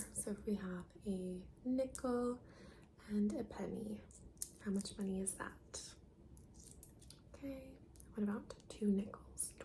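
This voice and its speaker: Soft-spoken and calm, the speaker talks with an American accent at a very slow pace, with long, frequent pauses. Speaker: ASMR content creator. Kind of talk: ASMR soft-spoken roleplay giving instructions to the viewer. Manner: soft-spoken, calm.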